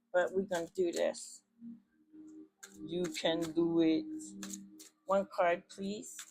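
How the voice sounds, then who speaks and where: The delivery is very slow, with long, frequent pauses. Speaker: tarot reader. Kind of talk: tarot reading.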